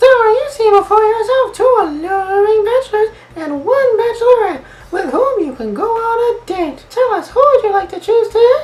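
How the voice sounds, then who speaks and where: A man uses a squeaky, put-on character voice at an extremely high pitch. He talks at a moderate pace. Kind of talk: comic falsetto put-on voice. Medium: solo performance. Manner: sweet, teasing, flirty.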